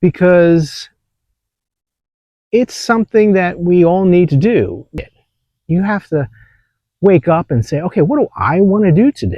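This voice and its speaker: The voice has a dark, mellow tone and lively intonation at a fairly slow pace, broken by long, frequent pauses. The sound is dry and close, with no echo. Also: man, high pitch for a man. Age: 60s. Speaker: vlogger. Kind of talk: casual monologue. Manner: halting.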